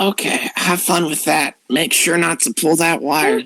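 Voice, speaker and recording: A man puts on a raspy, high-pitched character voice at a moderate pace. The sound is dry and close, with no echo. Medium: actual play.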